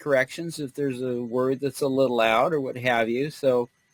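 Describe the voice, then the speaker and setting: A man with an ordinary speaking voice and an American accent talks at a moderate pace. His intonation stays fairly even. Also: dry, close sound with no echo. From United States. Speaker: entrepreneur, client. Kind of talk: webinar discussion.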